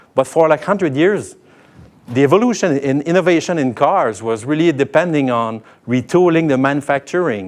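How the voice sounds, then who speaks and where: A man with a French accent, lively intonation and a moderate pace. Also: fairly high pitch for a man. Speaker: tech company sales lead. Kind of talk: keynote talk. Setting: stage with audience. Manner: halting, many fillers.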